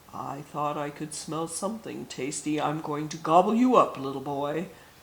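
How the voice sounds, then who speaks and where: A man uses a put-on character voice at a fairly high pitch. He speaks at a moderate pace. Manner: greedy, menacing.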